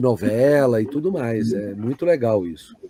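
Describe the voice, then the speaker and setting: A dark, mellow tone carries lively intonation in dry, close sound with no echo. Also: man. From Brazil. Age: 60s. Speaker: voice actor. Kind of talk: interview answer. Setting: online live stream.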